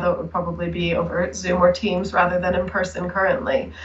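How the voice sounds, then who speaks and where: There is audible room echo as a woman speaks at a fairly quick pace. She has an American accent and a medium pitch. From United States. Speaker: researcher. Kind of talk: interview.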